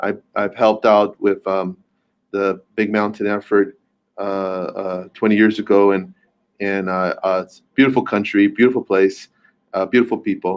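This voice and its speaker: A man with an American accent and a fairly low pitch, at a moderate pace, monotone and flat, with big swings in loudness. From US, born and raised here, Quechua heritage. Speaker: community leader and policy consultant. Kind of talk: panel Q&A remarks. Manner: halting, many fillers and repetitions.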